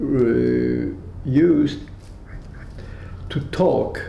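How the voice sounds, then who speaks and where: A man speaks with a German accent. Room echo is audible. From Austria, then Belgium. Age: 80s+. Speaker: Holocaust survivor. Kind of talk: testimony. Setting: at home. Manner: halting.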